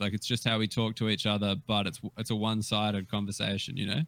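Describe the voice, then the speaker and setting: With an Australian accent, a man speaks at a fairly low pitch. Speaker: comedian. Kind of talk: casual chat. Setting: video call.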